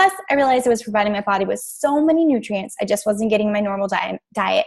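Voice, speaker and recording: A woman talks at a very fast pace. Her voice is somewhat breathy. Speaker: fitness and nutrition coach. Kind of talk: team training call. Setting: group call.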